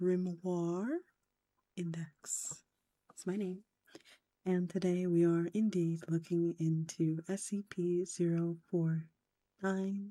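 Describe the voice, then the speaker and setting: Very slow delivery broken by long, frequent pauses. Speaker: vtuber streamer. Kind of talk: live stream chat. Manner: whispering; soft-spoken.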